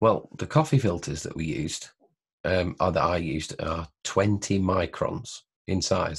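A man speaks at a fairly slow pace with a very deep, low pitch and ordinary pitch variation. His voice is somewhat breathy against a quiet background. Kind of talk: tutorial. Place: home room. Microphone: webcam.

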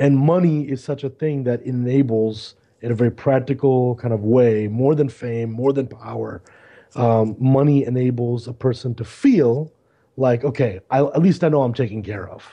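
A man with an American accent has an unremarkable speaking voice at a medium pitch. He talks at a moderate pace with fairly even intonation. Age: 40s. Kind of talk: casual chat.

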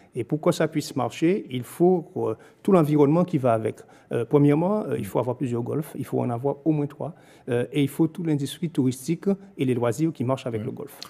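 A man speaks fairly quickly in a dark, mellow tone with a fairly high pitch and ordinary pitch variation. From Guadeloupe. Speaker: local politician, mayor. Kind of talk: political interview. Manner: formal. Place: studio. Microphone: studio mic.

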